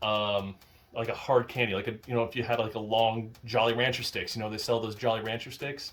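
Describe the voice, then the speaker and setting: The delivery moves at a fairly quick pace. Its intonation stays monotone and flat. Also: man, medium pitch for a man. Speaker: YouTube unboxing creator. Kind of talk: casual unboxing commentary. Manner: whispering at times; hesitant, many fillers.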